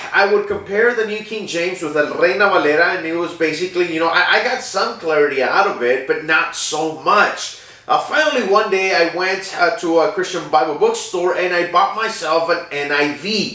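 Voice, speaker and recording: With hardly any pauses, a man speaks at a moderate pace and a high pitch with ordinary pitch variation, amid noticeable background noise and audible room echo. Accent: Spanish. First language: Spanish. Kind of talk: personal testimony. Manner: halting, many fillers.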